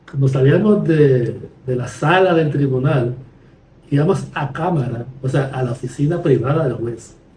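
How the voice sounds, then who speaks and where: At a fairly slow pace, a man with a fairly high voice speaks with ordinary pitch variation, and audible room echo surrounds him. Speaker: podcast host, lawyer. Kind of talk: conversational podcast discussion.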